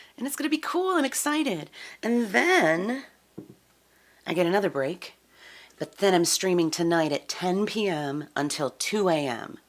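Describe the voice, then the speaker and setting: A woman with a fairly low pitch speaks at a moderate pace in an upbeat tone. Her pitch swings very widely, and she takes long, frequent pauses. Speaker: live-stream musician. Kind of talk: live-stream chat. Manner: chatty, upbeat.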